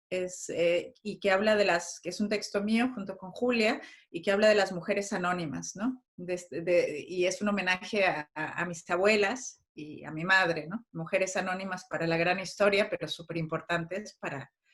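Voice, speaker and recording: A woman speaks at a moderate pace with ordinary pitch variation and hardly any pauses. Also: medium pitch for a woman. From Mexico. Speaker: actress and playwright. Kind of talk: interview. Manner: halting, many repetitions and fillers.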